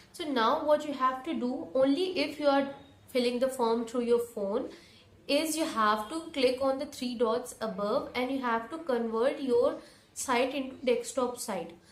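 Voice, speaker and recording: Room echo is audible as a woman speaks at a high pitch with ordinary variation. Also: fairly slow pace. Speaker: education YouTuber. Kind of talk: tutorial.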